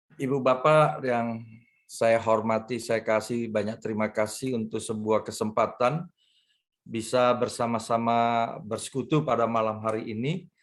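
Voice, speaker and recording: Fairly even intonation at a fairly slow pace, set against a quiet background. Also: man, medium pitch for a man. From Jakarta, Indonesia. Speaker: pastor. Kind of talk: sermon. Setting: video call. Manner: hesitant, with fillers.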